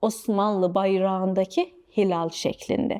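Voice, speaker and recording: A woman with a slight non-native accent and a dark, mellow tone speaks at a very slow pace. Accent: slight non-native accent in Turkish. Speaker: history explainer host. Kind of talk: storytelling history explainer narration.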